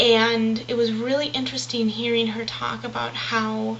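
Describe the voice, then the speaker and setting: Soft-spoken and at a fairly slow pace, a woman talks amid noticeable background noise and audible room echo. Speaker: video blogger. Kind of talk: casual video diary. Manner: hesitant with many fillers.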